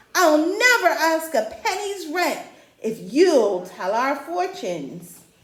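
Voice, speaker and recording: A put-on character voice, raised and projected, moves at a fairly slow pace. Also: woman. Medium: read story. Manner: breathless, excitable.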